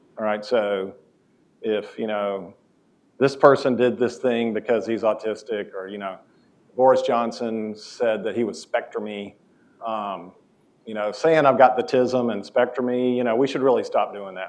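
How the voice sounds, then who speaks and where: A man with an American accent, a plain, everyday voice at medium pitch, ordinary pitch variation, big swings in loudness and a moderate pace. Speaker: professor. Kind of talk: lecture.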